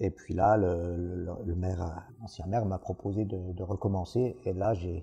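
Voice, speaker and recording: A man with a very deep, low pitch speaks in a dark, mellow, somewhat breathy tone with fairly even intonation. He hardly pauses, over a quiet background. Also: fairly slow pace. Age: 60s. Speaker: village mayor. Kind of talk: interview monologue. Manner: hesitant, many fillers.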